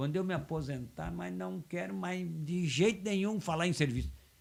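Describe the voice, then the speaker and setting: A fairly high, somewhat breathy male voice with very wide pitch swings at a moderate pace. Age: 70s. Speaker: football commentator and former player. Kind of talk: casual chat. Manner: halting, many repetitions.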